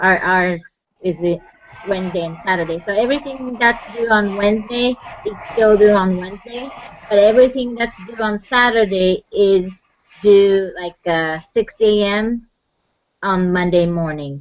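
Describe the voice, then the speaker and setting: A woman at a fairly slow pace and medium pitch, with a non-native accent and ordinary pitch variation. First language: not English. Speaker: student. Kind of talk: casual chat.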